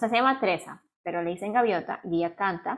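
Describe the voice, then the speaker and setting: A woman's medium-pitched, ordinary speaking voice, with ordinary pitch variation and a fairly quick pace. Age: 20s. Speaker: podcast co-host, art student. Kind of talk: casual chat.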